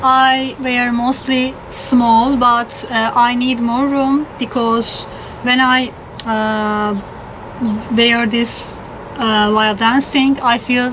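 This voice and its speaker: At a very slow pace, a woman speaks in a monotone, flat way at a high pitch and very even loudness, over noticeable background noise. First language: not English. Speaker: Zumba fitness instructor. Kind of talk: casual talk to camera, unboxing haul. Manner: hesitant, with fillers. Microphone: phone near.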